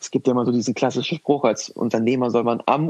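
A man at a very fast pace, medium in pitch, with a dry, close sound and no echo. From northern Germany, Lüneburg. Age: 20s. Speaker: managing director of family business. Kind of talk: interview.

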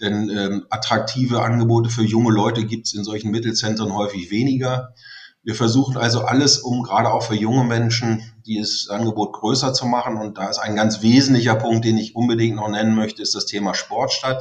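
Here a man speaks at a fairly quick pace. His intonation is flat and monotone. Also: medium pitch for a man. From southern Lower Saxony, Germany (Harz area). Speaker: teacher and local politician. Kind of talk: interview.

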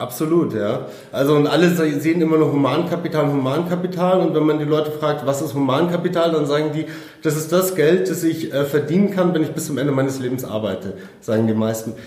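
A fairly high-pitched man talks at a fairly quick pace with ordinary pitch variation, noticeable background noise and audible room echo around him. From Germany, Munich (Bavaria). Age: 30s. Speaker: property investor. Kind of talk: interview. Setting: in person.

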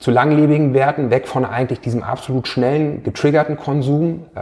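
Moderate pace, male speaker. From northern Germany, Hanover area. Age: 40s. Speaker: entrepreneur. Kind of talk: interview. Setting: office. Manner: halting, many fillers.

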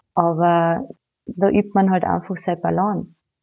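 A woman speaks with a Carinthian accent. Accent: Austrian German, Carinthian. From Austria, Carinthia. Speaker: yoga teacher. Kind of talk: casual interview chat.

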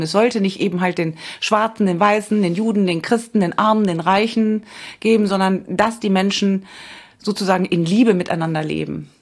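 This is an unremarkable speaking voice, moving at a fairly quick pace with ordinary pitch variation. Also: woman. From Cologne, Germany. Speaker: radio history author. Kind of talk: casual chat.

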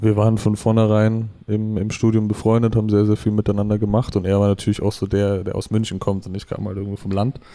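Over noticeable background noise, a man with a fairly low pitch speaks very fast in a monotone, flat way, with hardly any pauses. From Middle Franconia, rural Bavaria (Germany). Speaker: rapper. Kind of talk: casual interview chat.

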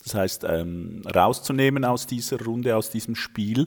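A man talks with a Swiss accent. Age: 40s. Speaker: esports founder, father. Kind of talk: gameplay commentary; casual chat.

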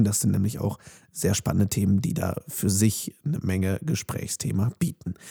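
A man talks at a moderate pace with lively intonation and a dark, mellow, somewhat breathy tone. The sound is dry and close, with no echo. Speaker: podcast host and voice-over speaker. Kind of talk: podcast intro and outro. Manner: casual.

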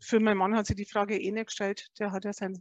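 Her pitch is medium and her intonation fairly even. The woman's voice sounds dry and close with no echo. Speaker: escape room owner. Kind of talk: interview.

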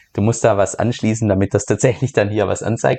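A man talks at a very fast pace. His tone is dark and mellow and somewhat breathy. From Germany. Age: 30s. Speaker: crypto YouTuber and podcaster. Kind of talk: casual Q&A monologue.

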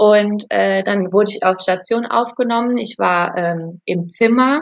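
This woman's voice sits at a medium pitch with ordinary pitch variation, and the sound is dry and close with no echo. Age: 30s. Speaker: new mother sharing birth story. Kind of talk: interview testimony. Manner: halting, many fillers.

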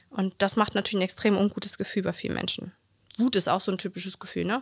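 A woman speaks at a very fast pace in a medium pitch, monotone and flat with vocal fry, on a very clean recording with a silent background. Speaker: couples therapist and coach. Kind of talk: casual chat.

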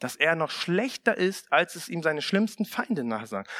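The man's warm, animated tone moves through very wide pitch swings, with a dry, close sound and no echo. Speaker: preacher. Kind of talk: sermon. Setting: church. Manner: warm, animated, conversational preaching; direct, earnest appeals to the congregation.

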